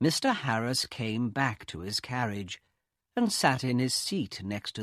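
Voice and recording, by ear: Reading aloud in a natural voice, the speaker uses lively intonation over a quiet background.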